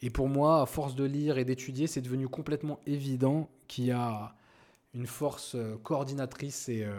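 Very clean recording with a silent background. A man speaks at a medium pitch in a dark, mellow tone. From France, Paris suburbs (Seine-Saint-Denis). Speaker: podcast host. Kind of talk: casual monologue.

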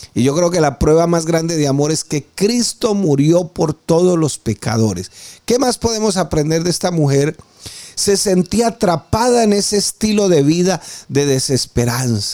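With a high pitch and a dark, mellow tone, a man speaks at a fairly slow pace. His intonation is lively, and his loudness stays very even. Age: 50s. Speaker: preacher. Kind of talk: sermon.

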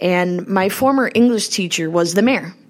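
Her pitch medium with ordinary variation, a woman is speaking. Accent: Upper Midwest. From Minnesota, South St. Paul / Cottage Grove area. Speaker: state senator. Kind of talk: interview. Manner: hesitant with many fillers.

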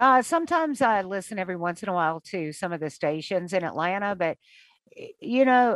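With an American accent and a normal speaking voice, a woman talks at a moderate pace and medium pitch, her intonation lively, the sound dry and close with no echo and the background quiet. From US South. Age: 60s. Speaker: radio morning host. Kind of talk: interview.

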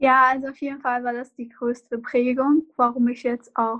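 Over a quiet background, a woman speaks at a moderate pace. Her high voice stays monotone and flat. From Iraq. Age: 20s. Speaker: refugee and law student. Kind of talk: interview.

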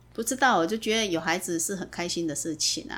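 Lively intonation marks this woman's medium-pitched voice, heard on a very clean recording with a silent background. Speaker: mother of the host. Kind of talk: casual family interview. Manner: careful, deliberate retroflex enunciation.

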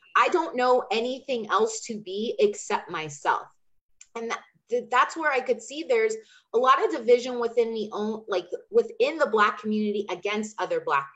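In an unremarkable speaking voice, a woman talks at a moderate pace with fairly high pitch. Her intonation is lively and her loudness swings a lot. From Chandler, Arizona (US Southwest). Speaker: energy healer and business coach. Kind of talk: casual interview chat.

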